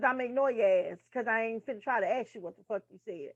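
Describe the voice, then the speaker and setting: A woman speaks loudly in a high-pitched voice. Her intonation is lively. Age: 30s. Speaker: nursing tutor. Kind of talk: casual lecture reading from a textbook.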